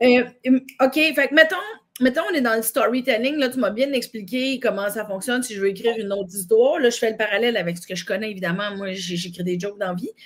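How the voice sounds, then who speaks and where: A woman talks at a very fast pace with a fairly high pitch and lively intonation. Noticeable background noise runs underneath. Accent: Quebec. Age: 30s. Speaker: comedian and podcast host. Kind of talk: casual interview chat.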